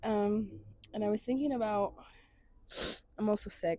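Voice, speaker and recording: Her voice is fairly high for a woman, with a dark, mellow tone, a somewhat breathy quality and ordinary pitch variation. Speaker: vlogger. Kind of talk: casual vlog monologue. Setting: outdoors on basement apartment steps. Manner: hesitant, many fillers.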